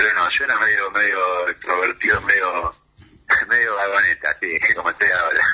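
A man talks at a moderate pace with very even loudness. Noticeable background noise is present. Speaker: actor and comedian. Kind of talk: interview. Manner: animated.

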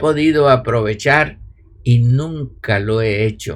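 A man is speaking here. His pace is very slow, and his pitch variation is ordinary. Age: 80s+. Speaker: spiritual teacher. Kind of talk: spiritual talk; online live stream.

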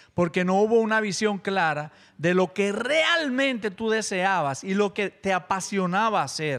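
Talking fairly slowly with hardly any pauses, a man uses a high pitch and lively intonation. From Dominican Republic, Baní. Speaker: podcast guest. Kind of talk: casual group chat.

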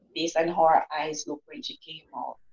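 A woman speaks with a Jamaican accent. Her pitch sits fairly low. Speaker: author and motivational speaker. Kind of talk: interview.

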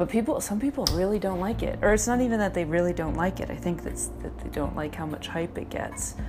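A woman's very fast speech with hardly any pauses, plus audible room echo and noticeable background noise. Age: 30s. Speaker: podcast host, former stand-up comedian. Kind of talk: casual solo monologue while cleaning. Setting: at home in apartment.

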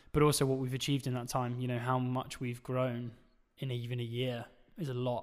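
This is a man with an ordinary speaking voice. He uses a medium pitch and a fairly quick pace. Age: 20s. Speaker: podcast host and agency founder. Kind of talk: casual Q&A interview. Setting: studio, filmed for video. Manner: casual with many filler words.

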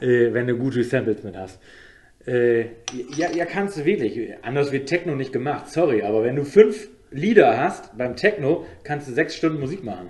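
In a normal speaking voice, the speaker talks at a fairly slow pace with lively intonation and big swings in loudness. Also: man, fairly high pitch for a man. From Osnabrück, northern Germany. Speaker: DJ. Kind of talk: casual chat.

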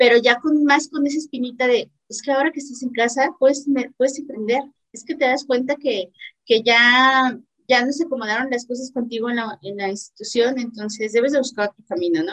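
In a high voice, a woman speaks with big swings in loudness. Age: 30s. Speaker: entrepreneur and academic. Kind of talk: casual interview.

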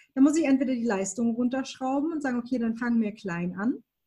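A high-pitched female voice. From Baden-Württemberg, Germany. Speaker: graphic and web designer. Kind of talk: interview conversation.

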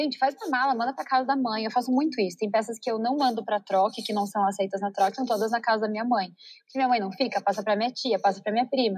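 A somewhat breathy woman, fairly high in pitch, talking at a very fast pace with fairly even intonation and hardly any pauses. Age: 30s. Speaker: entrepreneur, company CEO. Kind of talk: interview conversation.

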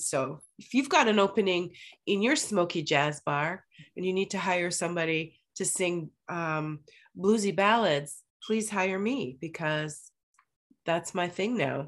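Woman in a put-on character voice, raspy and hoarse, medium pitch, fairly slow, quiet background. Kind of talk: conversational podcast.

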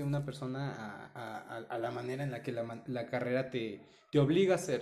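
Audible room echo surrounds a man whose voice is fairly high. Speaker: podcast co-host. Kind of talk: casual chat.

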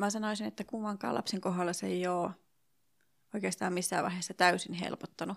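Fairly quick and medium-pitched, a woman talks in a normal speaking voice with ordinary pitch variation. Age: 40s. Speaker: early childhood teacher sharing infertility story. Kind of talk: interview testimony. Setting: hotel room in Helsinki.

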